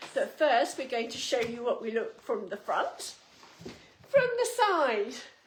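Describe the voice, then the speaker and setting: Speaking very slowly with long, frequent pauses, a woman uses a high pitch and very wide pitch swings over noticeable background noise. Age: 60s. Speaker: fashion retailer presenter. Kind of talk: product presentation.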